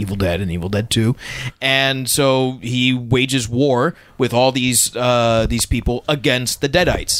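Medium-pitched male speech in an unremarkable speaking voice, fairly slow, with ordinary pitch variation. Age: 30s. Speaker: podcast co-host. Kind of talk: casual chat.

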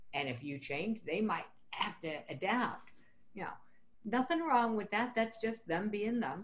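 Vocal fry runs through this voice, which swings very widely in pitch. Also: woman, fairly high pitch for a woman. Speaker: podcast host. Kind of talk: casual interview chat.

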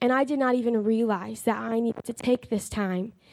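Speaking at a moderate pace, a woman uses a plain, everyday voice with a fairly high pitch and fairly even intonation. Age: young (19). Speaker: Bible college student. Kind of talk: testimony.

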